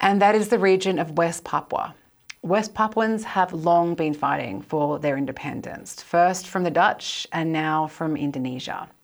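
A normal speaking voice at a moderate pace with ordinary pitch variation, in a very clean recording with a silent background. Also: woman, fairly low pitch for a woman. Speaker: historian, podcast co-host. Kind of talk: interview.

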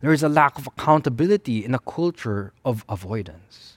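Speaking at a moderate pace with a Filipino accent, a man's pitch swings very widely in a dry, close sound with no echo. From Philippines. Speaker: pastor. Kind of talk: sermon.

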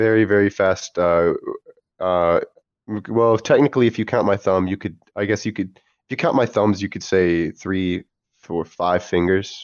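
A plain, everyday voice with an American accent talks at a moderate pace with ordinary pitch variation. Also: man, fairly low pitch for a man. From US, Maine and moved around. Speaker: podcast guest. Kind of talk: casual chat.

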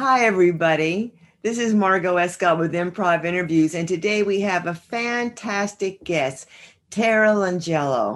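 At a moderate pace, a woman talks with an American accent. She has an ordinary speaking voice. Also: medium pitch for a woman, ordinary pitch variation. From northern New Jersey. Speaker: podcast host and psychotherapist. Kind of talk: interview.

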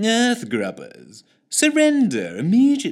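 In a robotic, put-on character voice at an extremely high pitch, a man speaks at a fairly slow pace. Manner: camp.

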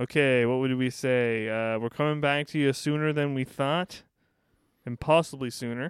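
With a normal speaking voice, a man talks at a medium pitch and moderate pace with fairly even intonation, captured in a dry, close, echo-free recording that is very clean with a silent background. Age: 30s. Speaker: podcast co-host. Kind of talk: casual chat.

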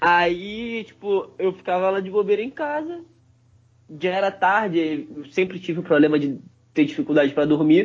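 With lively intonation and long, frequent pauses, a man speaks in a high pitch. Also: moderate pace. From Rio de Janeiro, Brazil. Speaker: podcast co-host. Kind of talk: casual chat.

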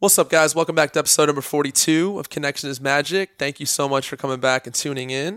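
A man talks at a very fast pace with fairly even intonation. The sound is dry and close, with no echo. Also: fairly high pitch for a man, hardly any pauses, very clean recording, silent background. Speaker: podcast host. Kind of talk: interview.

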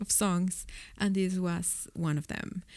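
A woman speaks with a Mexican accent. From Mexico City. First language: Spanish. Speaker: record store owner. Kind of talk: casual interview.

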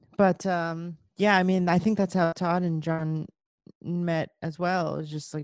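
A woman's monotone, flat delivery against a quiet background. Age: 30s. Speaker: rock musician. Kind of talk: casual chat.

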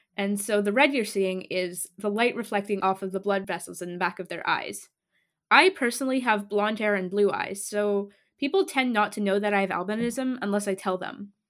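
On a very clean recording with a silent background, a woman speaks in an ordinary speaking voice at a medium pitch and moderate pace, with ordinary pitch variation. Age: young. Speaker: podcast host. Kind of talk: scripted narration. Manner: formal.

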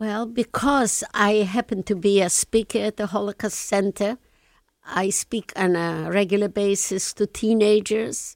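The recording is very clean, with a silent background and a dry, close sound with no echo. A woman with a Polish accent speaks at a medium pitch with fairly even intonation. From Lublin, Poland. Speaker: Holocaust survivor. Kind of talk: interview, recounting personal testimony. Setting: studio.

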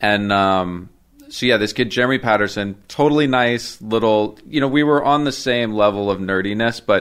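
An ordinary speaking voice from a man, fairly low in pitch, with ordinary pitch variation at a moderate pace. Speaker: tattoo artist. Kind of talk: casual chat. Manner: casual, rambling.

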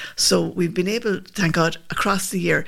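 A fairly quick delivery in a Limerick accent, with vocal fry and fairly even intonation. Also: woman. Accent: Irish (Limerick). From Limerick, Ireland.

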